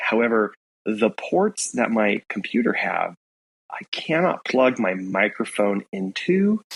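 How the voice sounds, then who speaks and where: Heard in a dry, close sound with no echo, a man talks at a very slow pace, his intonation lively. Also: medium pitch for a man. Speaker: podcast co-host. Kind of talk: casual chat. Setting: remote recording from a new room. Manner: halting, many fillers.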